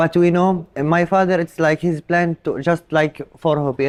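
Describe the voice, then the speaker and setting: A man's fairly slow, monotone delivery with flat intonation, in an Arabic accent, with a dry, close sound and no echo. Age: young. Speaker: Arabian horse show handler. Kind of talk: interview. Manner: halting, many fillers.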